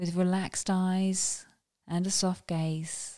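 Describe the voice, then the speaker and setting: A dark, mellow, gentle and calm tone moves at a very slow pace with monotone, flat intonation. The sound is dry and close with no echo, and the recording is very clean over a silent background. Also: woman. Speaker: meditation guide. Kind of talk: guided meditation. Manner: slow, calm, soothing; gentle, unhurried with long pauses.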